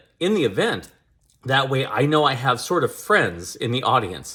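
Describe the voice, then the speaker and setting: A man speaks loudly. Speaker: public speaking coach and former EMS worker. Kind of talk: advice monologue. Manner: loud, projecting.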